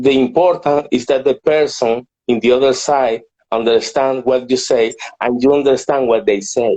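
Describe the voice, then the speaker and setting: Fairly slow delivery from a man with a Spanish accent, medium pitch, a dark, mellow tone and very even loudness. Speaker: entrepreneur. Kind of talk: interview. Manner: halting.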